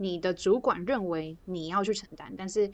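The recording carries a plain, everyday voice with ordinary pitch variation. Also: woman. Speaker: podcast co-host. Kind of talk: casual chat.

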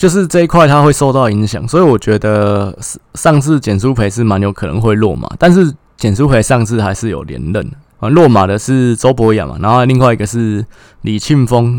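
A man with a normal speaking voice, medium in pitch, fairly quick and lively in intonation. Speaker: political commentary podcaster. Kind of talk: solo political analysis monologue.

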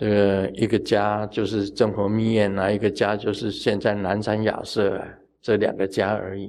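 A man with a fairly low pitch talks in a flat monotone with hardly any pauses. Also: moderate pace. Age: 70s. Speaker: Buddhist master teaching sutras. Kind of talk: dharma talk. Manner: casual with frequent filler particles.

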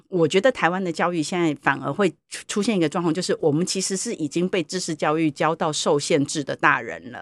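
A woman with a normal speaking voice. She talks at a fairly quick pace. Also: fairly low pitch for a woman, ordinary pitch variation. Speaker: university professor. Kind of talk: interview. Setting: studio.

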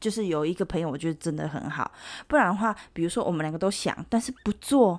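Talking at a very fast pace, a woman uses a fairly low pitch and an animated tone on a very clean recording with a silent background. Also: lively intonation. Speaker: podcast co-host. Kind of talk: casual chat. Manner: animated, lots of laughter.

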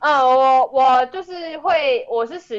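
There is a dry, close sound with no echo as a woman with a Taiwanese accent talks at a high pitch with lively intonation. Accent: Taiwanese Mandarin. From Taiwan, Tainan. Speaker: documentary director. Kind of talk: interview. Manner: low energy.

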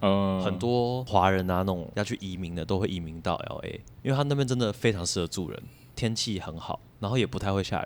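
Against a silent background in a very clean recording, a man speaks quite quickly in a normal speaking voice, fairly low in pitch with ordinary pitch variation. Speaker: podcast host and graduate student. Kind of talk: casual chat.

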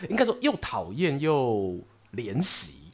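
In an animated tone, a man with fairly high pitch makes very wide pitch swings. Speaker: podcast host and storyteller. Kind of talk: casual chat.

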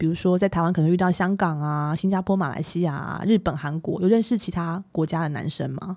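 Here a woman speaks in an ordinary speaking voice, fairly low in pitch, with fairly even intonation and hardly any pauses. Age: 40s. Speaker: podcast co-host. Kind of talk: casual chat; scripted narration.

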